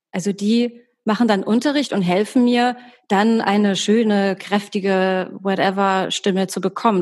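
A woman at a medium pitch with fairly even intonation. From Germany, Hamburg. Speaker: actress and voice coach. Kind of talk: podcast interview.

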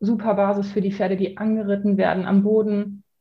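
Somewhat breathy, a woman at medium pitch speaks at a moderate pace. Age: 30s. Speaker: dressage trainer. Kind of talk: podcast interview. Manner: hesitant, many filler sounds.

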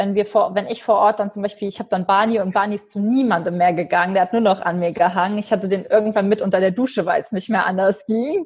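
Somewhat breathy and medium in pitch, a woman's voice moves at a very fast pace with ordinary pitch variation. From western Germany, Eifel. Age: 20s. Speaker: animal welfare volunteer. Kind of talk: interview.

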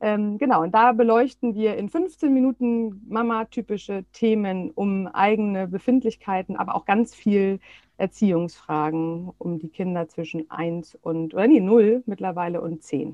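A woman speaks with a plain, everyday voice at a medium pitch, at a fairly slow pace with hardly any pauses. Her pitch variation is ordinary, while her loudness swings widely. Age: 40s. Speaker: parenting coach and psychotherapy practitioner. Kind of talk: interview.

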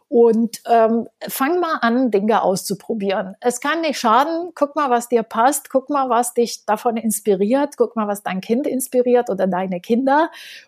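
A woman speaks at a fairly slow pace with a fairly high pitch and ordinary pitch variation. The sound is dry and close, with no echo. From Romania. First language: Romanian and French (speaking German). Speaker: education entrepreneur and author. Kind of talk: interview.

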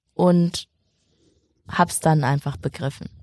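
Recorded very cleanly against a silent background with a dry, close sound and no echo, a woman talks at a fairly slow pace with fairly even intonation and a dark, mellow tone. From northern Germany, Schleswig-Holstein. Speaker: TV presenter and journalist. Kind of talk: casual interview.

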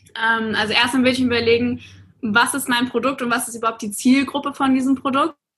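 A woman speaks at a fairly quick pace in a high voice, her intonation monotone and flat. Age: 20s. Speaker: influencer and social media coach. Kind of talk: podcast interview.

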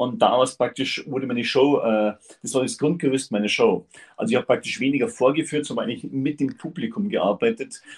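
Somewhat breathy and fairly high in pitch, a man talks at a fairly quick pace with very wide pitch swings. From Upper Bavaria. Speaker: part-time farmer and motivational speaker. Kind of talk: interview.

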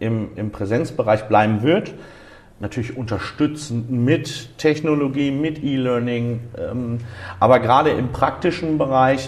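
At a very slow pace, a man with a medium-pitched voice talks with ordinary pitch variation. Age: 20s. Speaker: driving school owner. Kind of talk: interview. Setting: driving school exam room.

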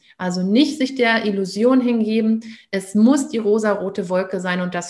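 A woman with an unremarkable speaking voice uses ordinary pitch variation at a medium pitch, talking at a moderate pace. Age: 30s. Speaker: parenting coach. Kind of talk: interview.

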